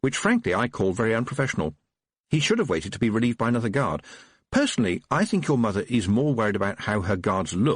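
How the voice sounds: Quiet background, natural reading voice in front of it.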